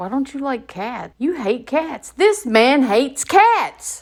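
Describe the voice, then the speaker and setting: An animated voice with an Appalachian accent makes very wide pitch swings on a very clean recording with a silent background. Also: woman. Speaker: streamer. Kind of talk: heated debate. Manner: sarcastic, animated.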